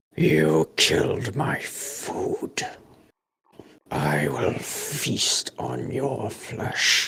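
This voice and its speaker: A man puts on a raspy character voice. He talks at a very slow pace. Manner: menacing.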